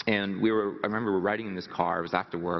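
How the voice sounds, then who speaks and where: A nervous-sounding man talks at a very fast pace, his fairly low pitch showing ordinary variation. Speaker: motivational speaker. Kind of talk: motivational talk. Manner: nervous laugh, throat clearing.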